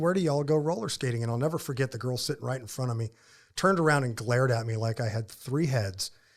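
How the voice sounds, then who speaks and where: Heard in a very clean recording with a silent background, a man with a Southern US accent and a medium pitch speaks fairly quickly in a somewhat breathy voice with ordinary pitch variation. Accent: Southern accent, returned after moving back. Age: 50s. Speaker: ministry founder and author. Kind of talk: interview conversation.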